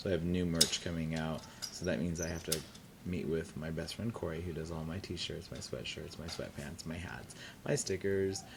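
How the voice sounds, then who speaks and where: Audible room echo surrounds a man with an American accent and a very deep, low pitch. His intonation stays fairly even, with vocal fry. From California Central Valley, Tulare area. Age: 30s. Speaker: drag performer. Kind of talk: oral history interview. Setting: university library.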